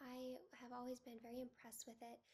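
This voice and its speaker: A high-pitched woman's voice with a dark, mellow tone and fairly even intonation. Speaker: fragrance reviewer. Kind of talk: casual product review to camera.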